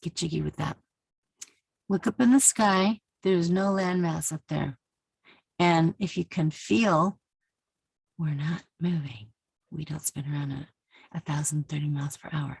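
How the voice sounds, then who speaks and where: Her very deep, low pitch and animated tone stand out as this woman speaks at a fairly slow pace, somewhat breathy, with ordinary pitch variation, long, frequent pauses, and a dry, close sound with no echo. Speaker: Bible teacher vlogger. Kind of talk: casual tutorial monologue.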